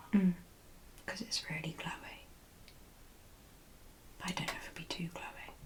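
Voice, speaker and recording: A woman whispers in a British accent, leaving long, frequent pauses. Noticeable background noise is present. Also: moderate pace. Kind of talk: casual conversational answers in ASMR video.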